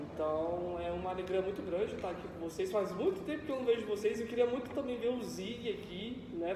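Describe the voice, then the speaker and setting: A high-pitched man speaks with ordinary pitch variation, with audible room echo and noticeable background noise. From Brazil, São Paulo area (Mogi das Cruzes). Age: 20s. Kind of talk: sermon. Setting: church. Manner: casual, conversational.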